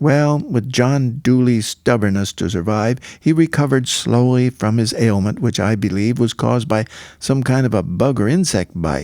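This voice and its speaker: Over a silent background in a very clean recording, a man with a dark, mellow tone speaks at a medium pitch and a moderate pace, his pitch varying in an ordinary way. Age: 80s+. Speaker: cowboy poet. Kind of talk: spoken-word story narration.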